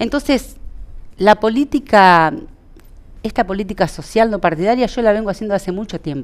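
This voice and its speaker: Lively in intonation, a woman talks at a moderate pace with long, frequent pauses. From Entre Ríos, Argentina. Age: 40s. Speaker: local party politician. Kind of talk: interview. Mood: calm, earnest. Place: studio.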